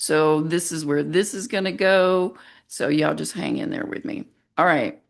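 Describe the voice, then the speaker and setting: A woman's normal speaking voice, medium in pitch, with lively intonation at a fairly slow pace against a quiet background. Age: 50s. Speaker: special education teacher and video blogger. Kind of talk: casual monologue reading AI-written script. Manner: conversational, with asides.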